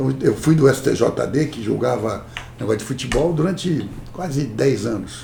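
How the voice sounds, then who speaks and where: With noticeable background noise, a man speaks at a fairly high pitch. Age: 60s. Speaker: corporate lawyer. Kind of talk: interview. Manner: animated.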